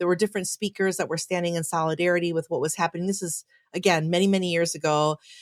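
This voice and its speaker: A woman's fairly low, monotone voice with flat intonation and a Chicago accent, very fast in pace, dry and close with no echo, on a very clean recording with a silent background. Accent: Chicago American English. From US Midwest, Chicago. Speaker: pastor. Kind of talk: casual chat.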